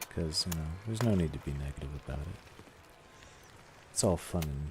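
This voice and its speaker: A man's very deep, low voice with ordinary pitch variation and long, frequent pauses, over noticeable background noise. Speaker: gaming streamer. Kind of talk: casual live-stream chat. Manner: sometimes fast, not always clearly enunciated; hesitant, many fillers.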